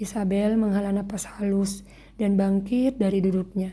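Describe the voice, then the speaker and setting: A woman speaks at a medium pitch and moderate pace in a dark, mellow, somewhat breathy tone with monotone, flat intonation. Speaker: writer reading own story. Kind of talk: reading aloud. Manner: halting.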